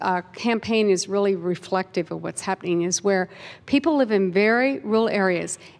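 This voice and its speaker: A woman with an American accent speaks in a normal speaking voice at a moderate pace, with ordinary pitch variation. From Kansas. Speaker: audience member asking question. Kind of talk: audience question at panel.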